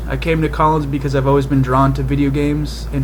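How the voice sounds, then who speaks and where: Audible room echo and noticeable background noise surround a man whose very deep, low voice moves at a fairly quick pace in a flat monotone. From Massachusetts. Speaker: student. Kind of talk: self-introduction video.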